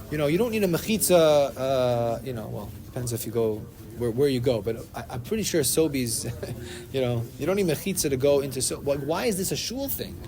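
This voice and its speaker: Lively intonation and a fairly quick pace mark this man's medium-pitched voice, heard with audible room echo. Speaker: Torah class teacher. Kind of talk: religious study class discussion. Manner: fast.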